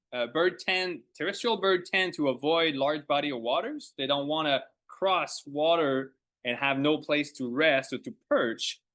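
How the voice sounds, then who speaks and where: In a French accent, a man with a bright, sharp tone and fairly high pitch speaks at a fairly slow pace with ordinary pitch variation against a quiet background. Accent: French accent, lasting. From Quebec. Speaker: ornithologist. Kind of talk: lecture. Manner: halting.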